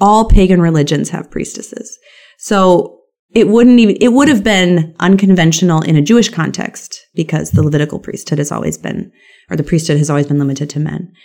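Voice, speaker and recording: A woman's fairly low, dark, mellow voice, fairly quick in pace and lively in intonation. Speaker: professor and author. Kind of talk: interview conversation.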